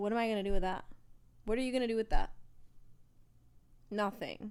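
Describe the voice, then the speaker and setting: A woman's animated, fairly high voice at a very fast pace. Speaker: podcast co-host. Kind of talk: casual chat. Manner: loud.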